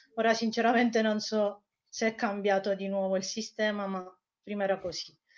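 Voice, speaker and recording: With a Spanish accent, a woman speaks at a fairly quick pace in a medium pitch with monotone, flat intonation. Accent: Italian with a Spanish lilt. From Italy. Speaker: researcher on Iran. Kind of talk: interview.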